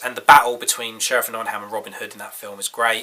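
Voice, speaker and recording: Noticeable background noise fills the clip. A man is speaking over it. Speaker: film reviewer. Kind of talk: casual talk to camera.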